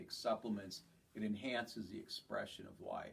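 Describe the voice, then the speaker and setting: A man talks in an unremarkable speaking voice. His pitch is fairly low. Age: 60s. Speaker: chiropractor. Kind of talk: health talk to patients. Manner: casual, conversational.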